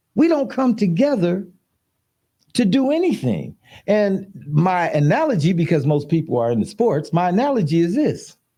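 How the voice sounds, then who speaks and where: Very wide pitch swings and very even loudness in a dark, mellow tone at a moderate pace. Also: man, high pitch for a man. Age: 70s. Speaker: podcast host. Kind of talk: casual chat.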